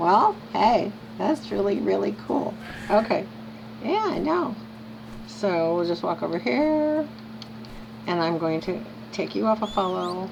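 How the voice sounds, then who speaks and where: Against noticeable background noise, a woman of medium pitch talks at a fairly slow pace with very wide pitch swings and long, frequent pauses. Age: 70s. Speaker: video game streamer. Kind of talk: casual gameplay commentary. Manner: animated.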